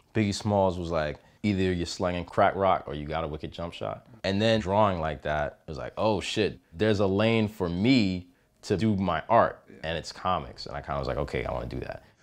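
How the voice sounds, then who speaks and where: Speaking at a fairly quick pace, a man with an American accent has a very deep, low voice with vocal fry. His pitch varies in an ordinary way, and the background is quiet. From Washington, D.C. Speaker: comic book artist. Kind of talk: interview. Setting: comic book festival. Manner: casual, conversational.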